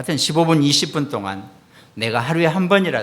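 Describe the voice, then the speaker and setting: A man's a plain, everyday voice, lively in intonation, at a moderate pace. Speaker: pastor. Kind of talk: sermon.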